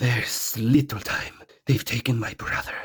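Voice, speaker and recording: This is a put-on character voice. The man behind it uses a medium pitch. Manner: desperate, pleading.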